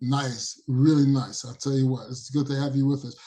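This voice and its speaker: With a New York accent, a man speaks in a dark, mellow tone that is somewhat breathy. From New York (Long Island, Brooklyn, Queens). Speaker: podcast host. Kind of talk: podcast interview. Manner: casual, energetic.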